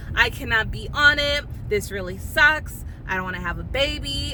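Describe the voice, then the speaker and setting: Noticeable background noise and audible room echo fill the clip. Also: woman. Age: 30s. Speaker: vlogger. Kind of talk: casual chat. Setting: in a car.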